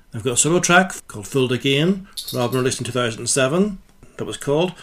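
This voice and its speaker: A man talks at a fairly quick pace in an unremarkable speaking voice. His pitch sits in the medium range, and his intonation is lively. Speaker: radio host. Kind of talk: radio DJ patter introducing tracks and release dates. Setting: radio studio. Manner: brisk, matter-of-fact, informative.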